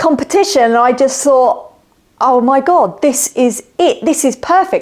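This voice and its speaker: Here a woman speaks with a southern English accent. Her voice is high, and her pace is very slow. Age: 50s. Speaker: woodworker and Etsy seller. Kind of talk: casual self-introduction.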